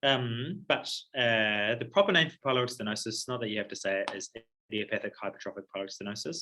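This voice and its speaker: Speaking very fast, a man uses lively intonation at a medium pitch. His tone is bright and sharp. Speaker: paediatric surgery registrar. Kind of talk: lecture. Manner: casual, filler-heavy.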